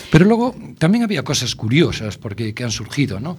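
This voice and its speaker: Moderately paced speech from a man, noticeable background noise behind it. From Spain, A Coruña (Galicia). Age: 60s. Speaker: food blogger and university lecturer. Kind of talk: radio interview. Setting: radio studio. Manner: halting, many fillers.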